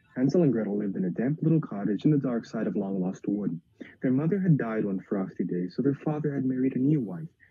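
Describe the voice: Someone reads aloud in a plain way. The intonation rises and falls with life.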